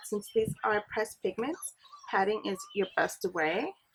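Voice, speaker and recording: With music in the background, a woman talks at a fairly slow pace in a medium pitch with ordinary pitch variation. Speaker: beauty vlogger. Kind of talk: makeup tutorial. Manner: soft-spoken.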